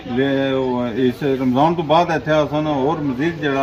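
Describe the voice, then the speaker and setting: A man talks with a fairly high pitch and fairly even intonation. Noticeable background noise runs underneath. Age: 50s. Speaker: fast food shop owner. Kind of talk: interview.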